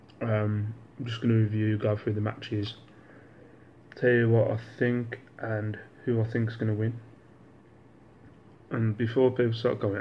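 Amid light background noise, a man speaks in a somewhat breathy, monotone, flat way at a moderate pace, with long, frequent pauses. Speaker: vlogger. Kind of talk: casual vlog chat. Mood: relaxed, joking. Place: home room. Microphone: phone near.

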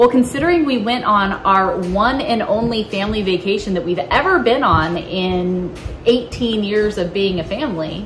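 With audible room echo and noticeable background noise, a woman talks at a moderate pace in a fairly high pitch, with lively intonation and hardly any pauses. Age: 30s. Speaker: family vlogger. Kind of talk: casual chat.

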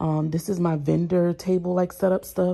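A woman uses a normal speaking voice at a fairly low pitch. Her pace is moderate. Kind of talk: casual vlog chat. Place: garage. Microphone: phone near.

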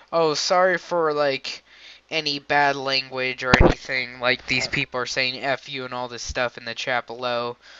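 At a moderate pace and a medium pitch, a man talks while noticeable background noise fills the clip. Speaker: gaming YouTuber. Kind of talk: casual gaming commentary. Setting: recorded at home computer, door open. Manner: animated, joking.

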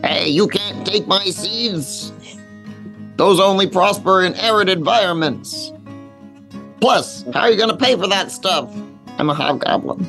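A middle-pitched voice over clear music in the background. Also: moderate pace. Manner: greedy, then delighted.

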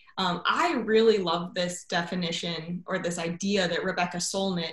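Moderately paced woman with an American accent, ordinary pitch variation and audible room echo. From Chicago suburbs, US Midwest; Illinois. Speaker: education researcher; guest, science educator. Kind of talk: lecture. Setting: video call. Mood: warm, enthusiastic. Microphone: video call.

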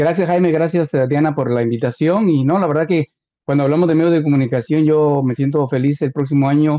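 Fairly quick and with fairly even intonation, a man speaks at a fairly high pitch in a plain, everyday voice. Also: quiet background. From Guatemala. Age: 60s. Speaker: radio host; radio host, interview guest. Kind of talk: casual interview. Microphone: video call.

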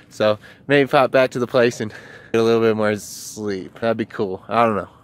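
A man's voice, dry with no echo, moves at a moderate pace with fairly even intonation. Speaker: travel vlogger. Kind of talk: casual vlog chat. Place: street. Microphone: phone near.

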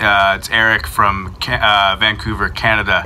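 A man with an American accent, fairly low-pitched and fairly even in intonation, against noticeable background noise. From US Midwest. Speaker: podcast producer. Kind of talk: casual chat.

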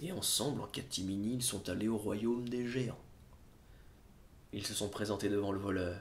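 A man speaks at a fairly low pitch. His voice is somewhat breathy, with ordinary pitch variation. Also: moderate pace. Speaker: storyteller performing a live show. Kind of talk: live storytelling performance, humorous. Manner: conversational, comic, lively. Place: home room.

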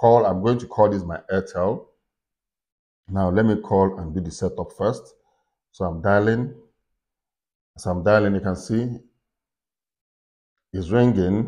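Speaking with fairly even intonation, a man has a dark, mellow tone and a fairly low pitch against a quiet background. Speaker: tech tutorial creator. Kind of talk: tutorial.

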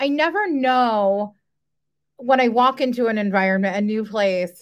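Over a quiet background, a woman speaks at a fairly slow pace in a high pitch. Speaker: university residence life director; panelist. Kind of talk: panel discussion. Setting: video call. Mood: earnest, engaged. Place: home room.

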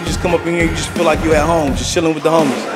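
Clear music plays behind a man as he speaks. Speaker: vlogger. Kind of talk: casual vlog chat. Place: shop. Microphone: phone near.

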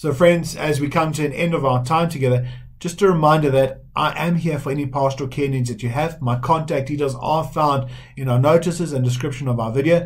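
A man with a fairly high pitch and a somewhat breathy voice, at a fairly quick pace with fairly even intonation, in a quiet background. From South Africa. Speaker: Methodist minister; church minister. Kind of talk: sermon. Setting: recorded online church service. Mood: warm, pastoral. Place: home room. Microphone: webcam.

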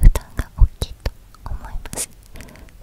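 Whispering softly, the speaker talks at a very slow pace. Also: woman. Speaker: book-talk vlogger. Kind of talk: casual vlog chat. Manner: soft close-mic ASMR whisper. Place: home room. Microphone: studio mic.

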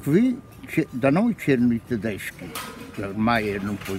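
Amid noticeable background noise, a man speaks at a fairly slow pace with very wide pitch swings, the sound dry with no echo. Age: 80s+. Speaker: retired train driver. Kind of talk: interview answer. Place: market. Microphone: phone near.

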